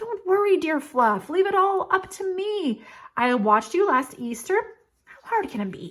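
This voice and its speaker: Using a put-on character voice, a woman speaks at an extremely high pitch with very wide pitch swings and a moderate pace. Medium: read story.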